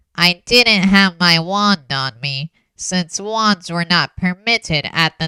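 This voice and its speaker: Using a put-on character voice at a medium pitch, a woman speaks at a very slow pace in a dry, close sound with no echo. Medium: audio drama. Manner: blunt, guarded.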